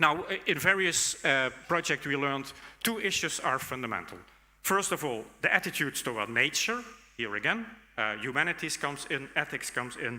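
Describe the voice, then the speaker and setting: Very wide swings in pitch run through a sharp, bright tone. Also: man. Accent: Dutch. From Netherlands. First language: Dutch. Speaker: conference speaker, academic. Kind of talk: conference keynote talk. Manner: hesitant, many fillers.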